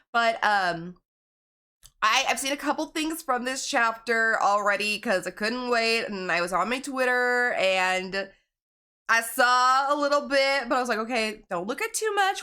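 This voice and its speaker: In a very clean recording with a silent background, a woman speaks in a high pitch with a bright, sharp, animated tone and very wide pitch swings. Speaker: gaming youtuber. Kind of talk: video game reaction commentary. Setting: at home, others sleeping. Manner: quiet, trying not to be loud.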